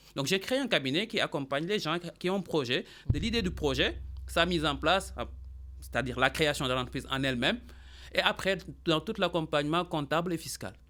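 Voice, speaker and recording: Lively intonation and vocal fry mark this man's fairly high voice. He leaves long, frequent pauses. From Senegal, Dakar. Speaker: accountant and business consultant. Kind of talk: radio interview.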